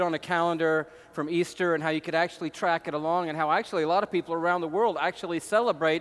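A man with an American accent speaks at a very fast pace in a high pitch. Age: 50s. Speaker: pastor. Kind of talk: sermon. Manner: animated.

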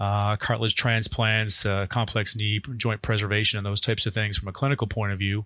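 Speaking very fast in a flat, monotone delivery, a man with a fairly low pitch is heard on a very clean recording with a silent background. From Canada. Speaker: orthopedic surgeon. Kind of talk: interview.

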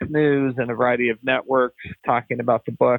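A man talks in an ordinary speaking voice at a medium pitch. He keeps a moderate pace and fairly even intonation. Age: 60s. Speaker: senior living company founder and CEO. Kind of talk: interview.

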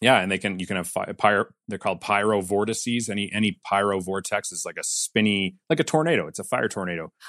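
A man with a Canadian accent talks at a very fast pace with a very deep, low pitch and a bright, sharp tone against a quiet background. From Calgary, Alberta, Canada. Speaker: weather specialist and videojournalist. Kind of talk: casual chat. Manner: animated.

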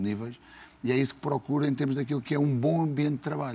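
Speaking at a very fast pace in a European Portuguese accent, a man has a dark, mellow tone. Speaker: football coach. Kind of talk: casual chat.

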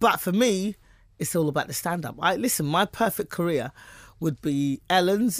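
A woman with a British accent talks at a fairly quick pace, her pitch varying in an ordinary way. The recording is very clean, with a silent background. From England. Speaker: stand-up comedian. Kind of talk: interview. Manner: fast.

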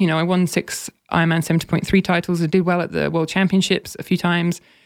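A woman with an English accent speaks at a fairly quick pace and fairly low pitch on a very clean recording with a silent background. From England. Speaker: former pro triathlete and content strategist. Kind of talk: casual interview.

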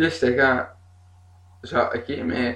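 A man's very slow speech at medium pitch, in a Quebec accent. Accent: Québécois French. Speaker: singer and bassist, festival programmer. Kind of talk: casual chat. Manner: animated.

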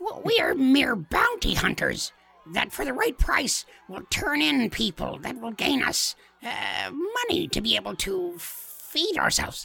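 A put-on character voice with a high pitch moves along at a fairly slow pace. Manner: boastful, pleading, slightly formal.

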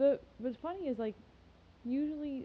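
A woman speaks in a somewhat breathy voice. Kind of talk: casual chat.

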